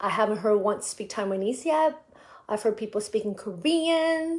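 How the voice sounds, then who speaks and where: A woman with a West Coast accent speaks at a fairly high pitch with lively intonation. The recording is very clean, with a silent background. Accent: American English, West Coast. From US, San Francisco Bay Area. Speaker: musician, live streamer. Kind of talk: casual live stream chat. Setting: live video stream. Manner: halting, many fillers and repeats.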